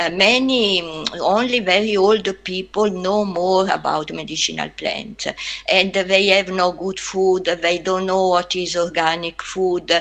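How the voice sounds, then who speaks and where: A woman with an Italian accent, medium pitch and fairly even intonation, at a fairly slow pace with hardly any pauses, over noticeable background noise. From Italy. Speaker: anthropologist. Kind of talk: webinar talk. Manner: halting.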